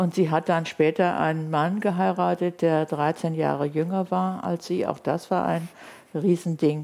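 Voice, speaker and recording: A woman's fairly low voice at a fairly slow pace, with ordinary pitch variation and noticeable background noise. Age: 70s. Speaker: linguist and author. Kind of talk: interview. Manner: quiet, not loud.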